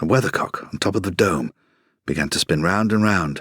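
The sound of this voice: Against a quiet background comes an unforced reading voice.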